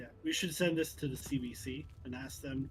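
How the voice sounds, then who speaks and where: This speaker talks at a fairly quick pace with a Canadian accent. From Canada. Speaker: gaming streamer. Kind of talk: casual chat. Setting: voice chat. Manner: animated.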